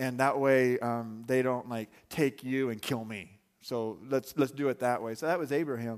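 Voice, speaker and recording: An unremarkable speaking voice: a medium-pitched man with an American accent and fairly even intonation, at a moderate pace, in a very clean recording with a silent background. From Arizona. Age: 30s. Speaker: pastor. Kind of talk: sermon. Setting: church with congregation.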